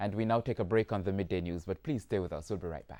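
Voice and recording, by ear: A man speaks with a slightly mellow tone. His pitch sits low.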